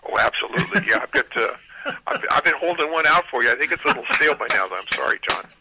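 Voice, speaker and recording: There is noticeable background noise. Over it, a man speaks at a very fast pace. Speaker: drag strip manager. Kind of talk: phone interview. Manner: halting.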